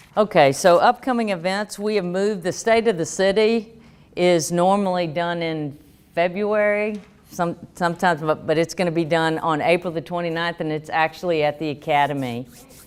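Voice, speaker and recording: With a strong Southern US accent, a woman talks at a moderate pace in a fairly low pitch with ordinary pitch variation. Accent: thick Southern US. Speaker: economic development official. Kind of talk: workshop presentation.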